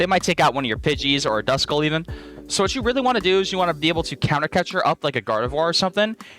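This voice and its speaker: Over music in the background, a man talks at a very fast pace with lively intonation. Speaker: Pokémon card game YouTuber. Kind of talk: deck tech commentary. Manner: casual, filler words.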